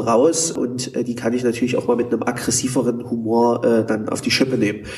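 A man speaks at a fairly quick pace in a monotone, flat intonation, with noticeable background noise behind him. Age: 30s. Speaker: healthcare manager, former intensive care nurse. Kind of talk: interview. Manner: hesitant, many filler sounds.

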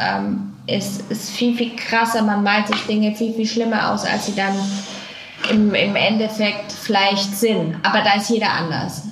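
Amid noticeable background noise and audible room echo, a woman of medium pitch speaks at a fairly slow pace with monotone, flat intonation. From Franconia, Germany. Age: 40s. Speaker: suicide-bereaved widow. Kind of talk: personal testimony interview. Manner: halting, many fillers.

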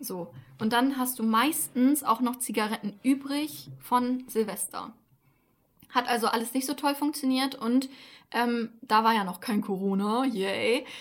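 Here a woman with a high-pitched voice speaks at a fairly slow pace. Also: ordinary pitch variation. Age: 20s. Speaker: podcast co-host. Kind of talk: casual chat.

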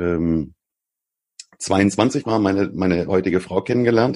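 In a very deep, low voice with ordinary pitch variation, a man speaks at a very slow pace. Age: 40s. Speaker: online marketing consultant. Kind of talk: interview conversation.

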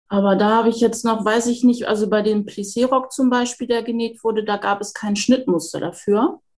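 A woman talks at a fairly quick pace. Her pitch is fairly high and her intonation fairly even. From northern Germany, near Hamburg. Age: 40s. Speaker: home sewing hobbyist. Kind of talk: casual interview chat. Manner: halting, many fillers.

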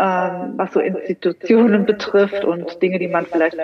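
A woman speaks at a moderate pace in a medium pitch. Noticeable background noise runs under her voice. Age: 50s. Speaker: money mindset coach. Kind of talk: interview. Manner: halting, many repetitions.

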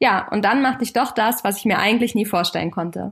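A woman's fairly high voice, an ordinary speaking voice, at a fairly quick pace. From Germany, Kassel in northern Hesse. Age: 30s. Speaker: podcast host and family business owner. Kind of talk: scripted podcast introduction.

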